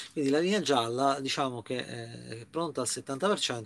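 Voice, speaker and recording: Here a man is speaking. He talks at a fairly slow pace. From Italy. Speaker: YouTuber. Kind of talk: casual vlog news commentary. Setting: inside a camper van. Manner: hesitant, filler-heavy. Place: home room. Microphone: webcam.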